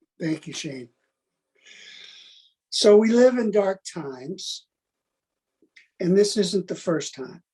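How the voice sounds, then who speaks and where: A man's high, dark and mellow voice at a very slow pace, with long, frequent pauses and big swings in loudness. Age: 70s. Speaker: arms control expert. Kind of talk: webinar talk.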